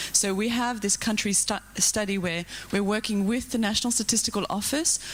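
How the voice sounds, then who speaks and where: This woman has an Australian accent. Her pitch varies in an ordinary way. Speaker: policy researcher. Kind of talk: conference panel comment. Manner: fast.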